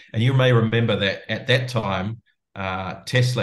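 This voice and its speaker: A man with a New Zealand accent, moderate pace and ordinary pitch variation, over a quiet background. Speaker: company founder and CEO. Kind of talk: interview.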